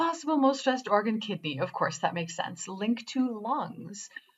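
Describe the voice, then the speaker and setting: Her pitch is fairly high and her voice somewhat breathy. This woman speaks at a moderate pace with very wide pitch swings. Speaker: quantum biofeedback trainer. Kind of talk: tutorial.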